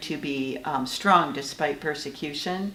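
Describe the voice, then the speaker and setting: A woman with a very deep, low voice speaks amid noticeable background noise and audible room echo. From Michigan. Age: 60s. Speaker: author. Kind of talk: interview. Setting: writers' conference. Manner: halting.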